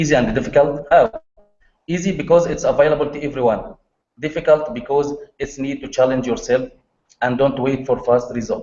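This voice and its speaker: With music in the background, a man speaks at a fairly quick pace in an Arabic accent. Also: fairly high pitch for a man, ordinary pitch variation. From Egypt. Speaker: online marketer. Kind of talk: presentation on video call. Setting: video call. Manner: halting non-native English. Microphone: poor internet connection.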